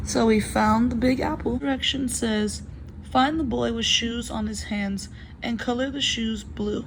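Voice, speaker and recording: A woman speaks at a fairly slow pace while audible room echo and noticeable background noise come through. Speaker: video creator demonstrating a workbook. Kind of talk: tutorial. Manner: hesitant, with fillers.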